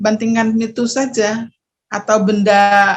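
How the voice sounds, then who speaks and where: The woman's voice has some breathiness. She goes along very slowly. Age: 50s. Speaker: testimonial giver. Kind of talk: testimony. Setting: video call. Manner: hesitant, with fillers.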